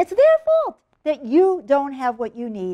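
A woman speaks with an American accent in a passionate tone, her intonation lively and her pace fairly slow. The background is quiet. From United States. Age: old. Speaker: political commentator, radio host. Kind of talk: casual talk to camera, political address. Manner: earnest, direct, passionate. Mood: passionate, exasperated. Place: home room.

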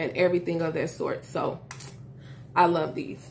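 A woman's normal speaking voice at a moderate pace, with light background noise. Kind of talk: tutorial. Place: home room.

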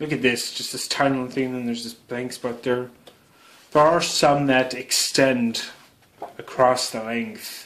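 A man with a medium pitch talks at a moderate pace, his intonation fairly even. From Canada. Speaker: YouTuber doing product unboxing. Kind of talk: unboxing video narration. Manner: casual with frequent fillers and hesitations. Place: home room. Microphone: phone near.

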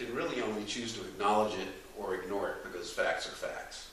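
Moderate-paced speech with audible room echo and light background noise. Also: man. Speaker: event host. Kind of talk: lecture introduction. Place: hall. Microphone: camera far.

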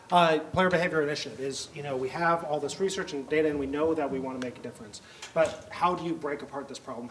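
The man speaks at a fairly quick pace with fairly even intonation. Light background noise is present. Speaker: presenter. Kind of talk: lecture. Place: classroom.

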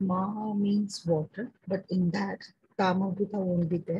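Speaking at a fairly slow pace, a woman with an Indian accent has a dark, mellow tone that is somewhat breathy. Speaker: Arabic teacher. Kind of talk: vocabulary lesson. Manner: hesitant, many fillers.

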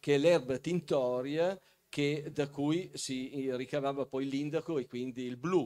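Fairly high for a man yet dark and mellow in tone, his voice moves at a fairly slow pace with fairly even intonation. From Piedmont, Castelnuovo Scrivia. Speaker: local historian and author. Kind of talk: talk show interview. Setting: stage with audience.

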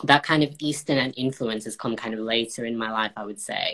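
Against a quiet background, a man with a medium pitch and a bright, sharp tone speaks with fairly even intonation. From northern England, Bolton. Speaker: baker and former cooking contestant. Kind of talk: casual interview. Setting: live video call. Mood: calm, friendly. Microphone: video call.

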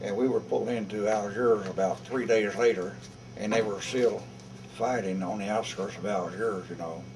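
A man with a fairly low pitch and ordinary pitch variation talks over noticeable background noise. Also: moderate pace. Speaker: war veteran. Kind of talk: interview answer. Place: hall.

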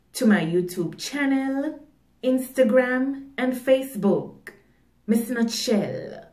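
In a quiet background with audible room echo, a woman speaks at a very slow pace. Her voice is high-pitched and swings very widely in pitch. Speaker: poet and motivational video creator. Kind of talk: poem performed, spoken-word style with repeated 'I need all' lines. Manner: emphatic, rhythmic, declarative; deliberate, motivational, insistent. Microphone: phone near.

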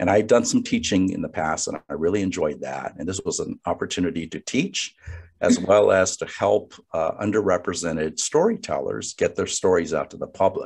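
Fairly quick speech from a man over a quiet background. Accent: American. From Los Angeles area, California (Gardena). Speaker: lawyer and law professor, redistricting commissioner. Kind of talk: guest talk and Q&A on a webinar. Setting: online video call. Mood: calm, conversational. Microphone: video call.

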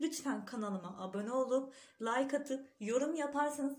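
Speaking at a moderate pace, a woman uses a high pitch. Her voice shows ordinary pitch variation. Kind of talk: cooking tutorial. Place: kitchen.

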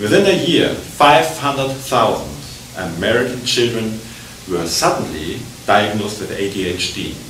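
Light background noise and audible room echo around a male voice. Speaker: conference lecturer. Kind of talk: lecture. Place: hall. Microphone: podium.

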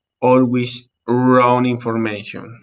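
Over a quiet background, a man speaks with a Colombian accent. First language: Spanish. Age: 30s. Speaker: English learner. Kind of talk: class presentation, self-introduction. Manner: halting, hesitant with many fillers. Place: home room. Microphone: webcam.

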